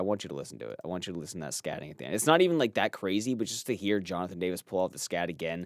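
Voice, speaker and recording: In a very clean recording with a silent background, a man with a fairly low pitch speaks in an animated tone. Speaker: gaming podcast host. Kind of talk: casual chat. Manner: fast, words slurred together.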